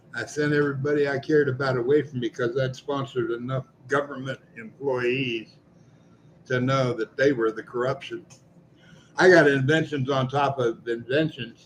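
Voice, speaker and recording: Noticeable background noise sits behind a man at a medium pitch. He speaks at a moderate pace in a monotone, flat intonation. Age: 70s. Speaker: citizen activist vlogger. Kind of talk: personal monologue. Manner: repetitive, halting.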